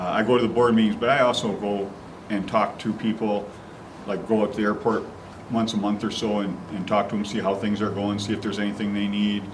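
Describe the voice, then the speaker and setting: The speech moves at a very fast pace in a monotone, flat intonation. Audible room echo surrounds it. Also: man, fairly low pitch for a man. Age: 60s. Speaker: county commissioner. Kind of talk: interview.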